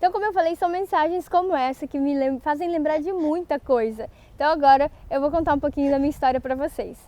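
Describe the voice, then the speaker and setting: Her voice sits high for a woman and moves through ordinary pitch variation. She talks at a fairly quick pace with hardly any pauses. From Brazil, interior of Rio de Janeiro state. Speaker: Japanese language teacher. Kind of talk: online course presentation.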